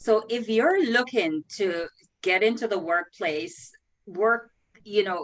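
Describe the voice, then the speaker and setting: A woman with a Jamaican accent speaks at a very slow pace and a fairly high pitch, with lively intonation. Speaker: career coach and recruiter. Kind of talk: interview.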